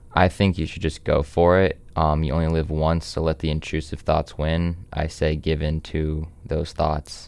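A man's very deep, low voice in a flat monotone. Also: moderate pace, hardly any pauses. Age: 18. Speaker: podcast guest. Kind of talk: casual chat.

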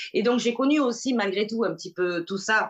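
Her intonation is lively as the woman speaks. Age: 40s. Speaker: association founder. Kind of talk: interview. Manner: halting.

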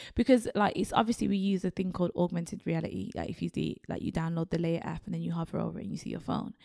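A woman talks at a very fast pace, and the sound is dry and close with no echo. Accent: Birmingham. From Birmingham, England. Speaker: creative agency co-founder. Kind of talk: interview. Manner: animated.

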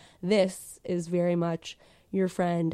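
With a dark, mellow tone, the woman talks at a medium pitch. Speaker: podcast host. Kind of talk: casual chat. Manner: playful, animated.

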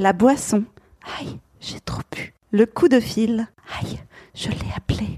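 This clip features an unforced reading voice.

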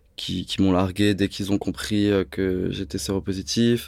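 Very slow speech from a man, his pitch fairly low. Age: 30s. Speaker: fitness coach, model and HIV activist. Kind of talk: interview. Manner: hesitant, many fillers.

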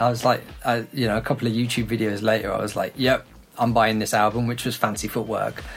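A man talks at a medium pitch with a British accent. His delivery is very fast and monotone, with flat intonation. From UK. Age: 30s. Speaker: electronic music producer. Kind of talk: casual interview chat.

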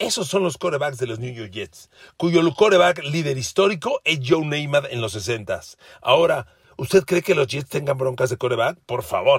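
Somewhat breathy and animated, a man speaks at a moderate pace with a fairly high pitch and lively intonation. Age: 60s. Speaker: sports podcaster. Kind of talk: sports analysis monologue.

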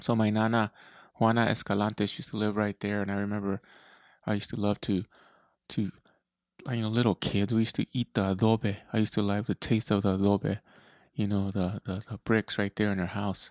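Monotone, flat delivery at a fairly quick pace broken by long, frequent pauses, in a dry, close sound with no echo on a very clean recording with a silent background. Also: man. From Eloy, Arizona, US Southwest. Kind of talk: solo podcast monologue. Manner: hesitant with frequent fillers.

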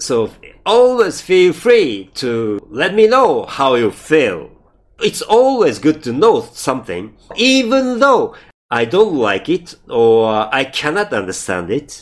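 Speaking very slowly with a Japanese accent, a man uses a high pitch and very wide pitch swings. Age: 50s. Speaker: podcaster. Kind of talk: scripted-style podcast trailer, self-introduction. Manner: halting, hesitant with fillers.

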